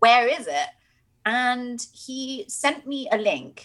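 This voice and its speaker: A woman with a British accent speaks at a high pitch. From Britain. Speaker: sex and relationship coach. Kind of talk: casual chat. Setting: video call. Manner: witty.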